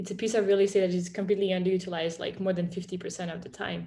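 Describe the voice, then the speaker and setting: Somewhat breathy and in a French accent, a woman speaks at medium pitch with fairly even intonation. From France. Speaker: startup founder and CEO. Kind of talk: interview. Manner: casual with frequent fillers.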